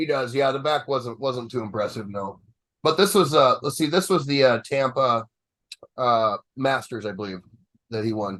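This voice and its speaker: A man's medium-pitched voice at a moderate pace, with lively intonation and long, frequent pauses. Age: younger than 63. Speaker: bodybuilding podcast host. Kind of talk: casual chat. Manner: halting.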